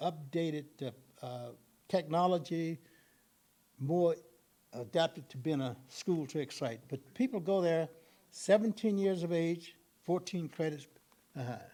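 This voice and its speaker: A man with an American accent, high pitch and ordinary pitch variation, at a fairly slow pace with long, frequent pauses. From US South, Texas (Columbus, South Central Texas). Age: 80s+. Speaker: retired educator presenting at an arts gathering. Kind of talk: presentation with audience Q&A.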